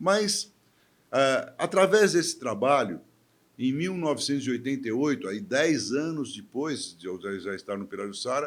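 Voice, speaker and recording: Over a very clean recording with a silent background, a man speaks at a fairly slow pace. His fairly high voice swings very widely in pitch. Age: 70s. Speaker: physician and former mayor. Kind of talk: interview conversation. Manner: hesitant, with fillers and restarts.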